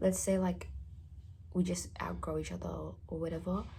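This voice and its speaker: A woman talking at a fairly quick pace amid audible room echo. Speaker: vlogger. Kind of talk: casual chat. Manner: halting.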